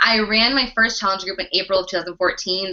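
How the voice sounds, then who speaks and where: At a very fast pace, a woman speaks in a medium pitch. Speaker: fitness coach and network marketing leader. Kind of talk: online training presentation. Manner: animated.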